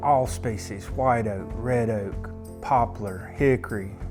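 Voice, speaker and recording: Over background music, a man speaks very slowly in a fairly low voice with ordinary pitch variation. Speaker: real estate agent or auction presenter showing the farm. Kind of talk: promotional property walkthrough, casual talk to camera.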